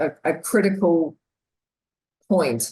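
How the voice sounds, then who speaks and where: Fairly low in pitch, a woman with an Australian accent speaks in a dark, mellow tone with ordinary pitch variation. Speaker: corporate learning officer. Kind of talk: webinar discussion.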